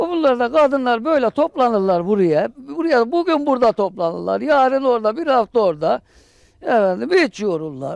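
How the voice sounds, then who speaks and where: The speaker moves at a moderate pace with very wide pitch swings. The sound is dry with no echo, set against a quiet background. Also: man, extremely high pitch for a man. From Hatay, southern Turkey. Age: 60s. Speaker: villager; interviewee. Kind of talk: casual chat. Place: garden. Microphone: handheld.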